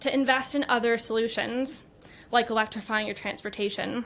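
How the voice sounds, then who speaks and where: On a very clean recording with a silent background, a woman with a high pitch talks at a fairly quick pace with an American accent. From United States. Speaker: business executive. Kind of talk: conference talk. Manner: formal.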